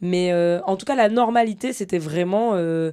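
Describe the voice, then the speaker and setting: Over a silent background on a very clean recording, a woman speaks in a dark, mellow tone with ordinary pitch variation. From Guadeloupe. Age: 30s. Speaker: sports journalist. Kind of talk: podcast interview, casual. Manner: casual, many hesitations.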